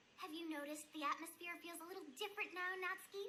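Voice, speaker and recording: A woman's squeaky, put-on character voice at extremely high pitch, very fast, with fairly even intonation over clear background noise. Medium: cartoon. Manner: breezy, cheerful, calculating.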